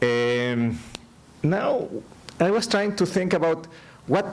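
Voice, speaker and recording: With a Spanish accent and lively intonation, a man speaks amid noticeable background noise and audible room echo. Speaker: economist, keynote speaker. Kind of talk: keynote lecture. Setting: conference stage with audience. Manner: halting, repeats words.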